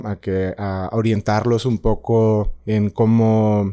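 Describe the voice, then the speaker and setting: A man speaks at a medium pitch. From northern Mexico, Ciudad Juárez. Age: 30s. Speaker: freelance filmmaker and journalist. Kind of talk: interview conversation. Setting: studio. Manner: halting, many fillers.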